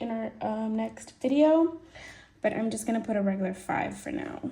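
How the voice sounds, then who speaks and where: A woman speaks at a moderate pace in a fairly high, somewhat breathy voice with a dark, mellow tone and lively intonation. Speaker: budgeting video creator. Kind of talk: casual budgeting tutorial. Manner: casual, chatty.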